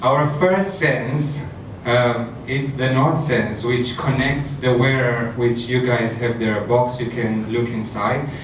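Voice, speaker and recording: Very slow speech from a man at medium pitch, fairly even in intonation, with audible room echo and noticeable background noise. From Romania, left at age ten. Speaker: startup founder and CEO. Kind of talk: startup pitch.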